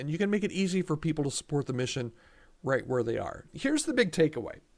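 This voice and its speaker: This man has an ordinary speaking voice, pitched fairly high, with lively intonation. The recording is very clean, with a silent background. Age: 60s. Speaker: podcast host for church staffing. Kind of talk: solo podcast commentary. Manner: casual, with frequent repetitions and restarts.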